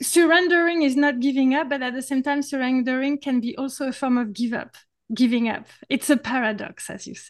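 A woman's high voice with a French accent, ordinary pitch variation and hardly any pauses. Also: moderate pace, big swings in loudness. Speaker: podcast host.

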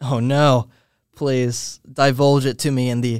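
This man has an unremarkable speaking voice, medium in pitch and fairly slow in pace. The recording is very clean and the background silent. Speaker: podcast host. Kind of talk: casual chat. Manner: joking, playful.

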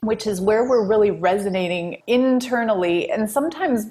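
A woman speaks with a fairly high, somewhat breathy voice. Her pitch varies in an ordinary way. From Wisconsin, US Midwest. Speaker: marketing executive and author. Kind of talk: podcast interview.

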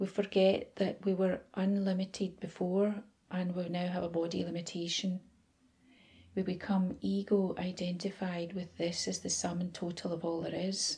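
A woman's medium-pitched, somewhat breathy voice, dark and mellow in tone, with flat, monotone intonation. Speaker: meditation guide. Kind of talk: guided meditation. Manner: soft, slow and soothing, gentle, dreamy.

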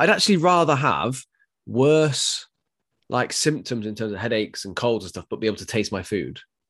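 Speaking at a fairly quick pace with an English accent, a man uses a medium pitch and lively intonation. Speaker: fitness podcast co-host and personal trainer. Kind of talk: casual chat.

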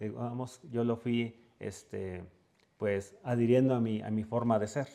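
This man's tone is dark and mellow. He talks at a fairly slow pace with fairly even intonation. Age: 40s. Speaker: entrepreneur, catering business founder. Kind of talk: interview.

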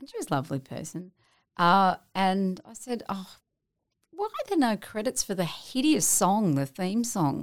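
At a moderate pace, a woman with an Australian accent and a medium pitch makes very wide pitch swings and big swings in loudness on a very clean recording with a silent background. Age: 50s. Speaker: television actress. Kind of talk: casual interview chat.

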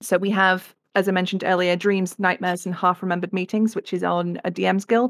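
Speaking at a very fast pace with hardly any pauses, a woman with an English accent keeps a monotone, flat intonation. The sound is dry and close with no echo, in a very clean recording with a silent background. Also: medium pitch for a woman. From England. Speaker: game illustrator and art director. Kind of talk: interview.

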